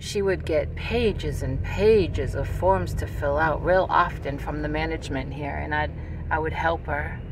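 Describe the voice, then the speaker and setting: A woman talks at a moderate pace, the sound dry with no echo but with noticeable background noise. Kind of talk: casual vlog chat. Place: car. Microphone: phone near.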